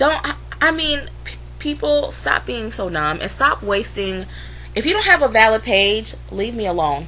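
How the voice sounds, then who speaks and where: A woman talks fairly slowly over noticeable background noise. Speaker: vlogger. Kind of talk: casual vlog rant. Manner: animated, blunt.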